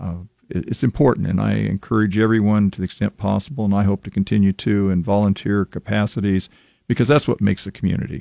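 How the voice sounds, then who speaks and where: A man with a Midwestern American accent talks at a very fast pace with a fairly low pitch and ordinary pitch variation, in a dry, close sound with no echo. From US Midwest, Lincoln, Nebraska. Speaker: former city council member. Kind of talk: radio interview. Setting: radio studio.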